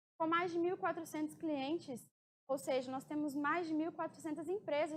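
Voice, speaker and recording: A woman with a high pitch talks at a moderate pace, using ordinary pitch variation. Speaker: mining engineer giving a talk. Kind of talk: conference presentation.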